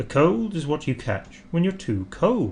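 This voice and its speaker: Over clear background noise, a man puts on a character voice that sits fairly high and swings very widely in pitch, moving at a moderate pace. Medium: read story.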